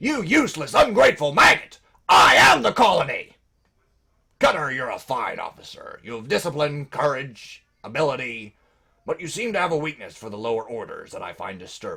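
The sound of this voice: A man's raised, projected, put-on character voice at a fairly high pitch. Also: moderate pace.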